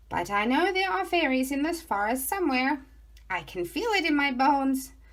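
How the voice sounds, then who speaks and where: A woman speaks in a put-on character voice with a high pitch. Her pace is moderate. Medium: read story. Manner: enthusiastic, warm.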